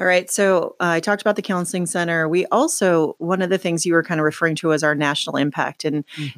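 Noticeable background noise surrounds a woman speaking with an American accent, the sound dry and close with no echo. Her pitch is fairly low, with ordinary variation. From southern Oregon, US. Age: middle-aged. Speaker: nonprofit CEO. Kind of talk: casual interview chat. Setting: her office.

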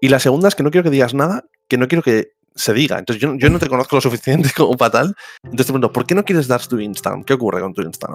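Very fast speech from a man, medium in pitch with lively intonation. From Catalonia, Spain (Barcelona). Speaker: podcast host. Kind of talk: casual chat. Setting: online voice call.

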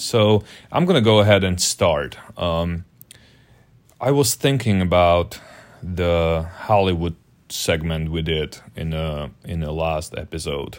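A man with a non-native accent and a very deep, low pitch speaks at a very slow pace with ordinary pitch variation and long, frequent pauses, on a very clean recording with a silent background. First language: not English. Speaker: podcast co-host. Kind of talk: casual banter.

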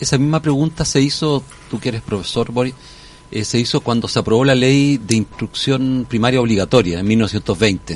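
A man's plain, everyday voice at a medium pitch. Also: ordinary pitch variation, moderate pace. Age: 60s. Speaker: constitutional convention delegate. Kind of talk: radio interview. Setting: radio studio.

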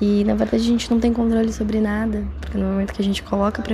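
A woman speaks with noticeable background noise. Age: 20s. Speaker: podcast contributor. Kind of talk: recorded personal reflection.

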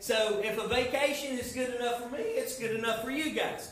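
An extremely high-pitched man's voice amid audible room echo and noticeable background noise. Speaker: youth pastor. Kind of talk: sermon. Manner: halting.

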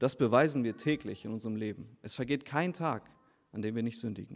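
Recorded very cleanly against a silent background, a man speaks at medium pitch and a moderate pace with ordinary pitch variation. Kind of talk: baptism sermon. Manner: earnest, persuasive preacher's tone, direct appeals to the listeners.

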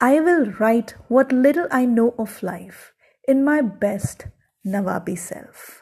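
The tone is dark and mellow, and somewhat breathy. Intonation is lively. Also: woman. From South India. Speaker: podcaster. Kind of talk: personal storytelling monologue.

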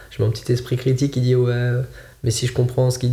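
At a fairly quick pace, a man with a medium pitch speaks in a somewhat breathy voice. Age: 20s. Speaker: ultimate frisbee coach. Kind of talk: casual chat.

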